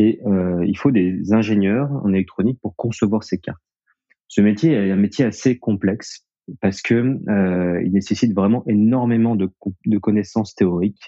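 A man's fairly low-pitched voice, fairly slow in pace and fairly even in intonation. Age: 30s. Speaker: co-founder of a connected-devices company. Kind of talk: interview. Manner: halting, with many fillers and repetitions.

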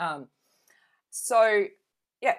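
With an Australian accent, a woman talks in very wide pitch swings on a very clean recording with a silent background. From Adelaide, South Australia. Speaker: council candidate and leadership coach. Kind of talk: interview.

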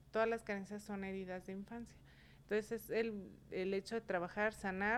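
A woman's medium-pitched voice, monotone and flat in intonation. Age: 30s. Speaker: beauty professional and salon owner. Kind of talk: casual chat.

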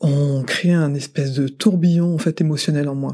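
Her pitch is very deep and low for a woman, with a dark, mellow tone. She speaks at a fairly slow pace with fairly even intonation. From France. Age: 40s. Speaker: mother sharing experience. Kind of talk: testimony. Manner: halting.

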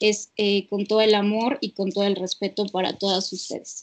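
Her voice has a Mexican accent, medium pitch for a woman, monotone, flat intonation and a moderate pace, in a dry, close sound with no echo. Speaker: psychologist. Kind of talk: casual chat. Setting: remote call.

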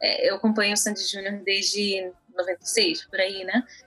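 A woman speaking at a fairly slow pace with music in the background. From Brazil (born in Israel, moved at about 5-6). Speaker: podcast co-host. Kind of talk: casual chat.

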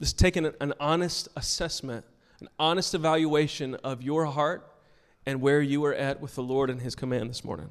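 Using a normal speaking voice, a man with a fairly high pitch keeps fairly even intonation at a moderate pace, with big swings in loudness. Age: 40s. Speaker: pastor. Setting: church with congregation. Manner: casual and conversational with frequent ums and repeated words.

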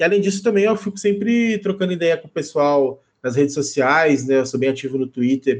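A man with a plain, everyday voice keeps a moderate pace, his pitch varying in an ordinary way. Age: 30s. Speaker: Magic card game writer and content creator. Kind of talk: casual chat.

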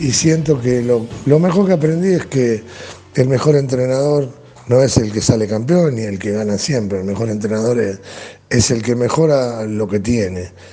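Through audible room echo and noticeable background noise, a man speaks at a moderate pace and medium pitch with lively intonation. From Argentina. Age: 60s. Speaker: football coach. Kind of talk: interview. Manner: halting, many fillers and repetitions.

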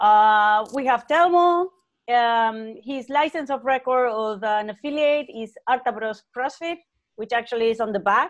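Delivered at a fairly slow pace in a Spanish accent, the speech sits over a quiet background. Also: woman. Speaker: interview moderator. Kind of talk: introduction.

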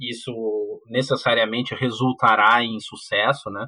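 This man has a medium pitch. He talks at a fairly slow pace. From Porto Alegre, southern Brazil. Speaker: university professor. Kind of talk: casual chat.

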